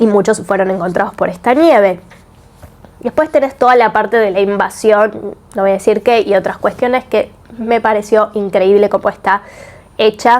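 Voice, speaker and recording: This woman speaks with a Rioplatense accent at a moderate pace, her pitch fairly high. Her pitch variation is ordinary and her loudness very even. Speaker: book and series reviewer. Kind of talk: video review. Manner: casual.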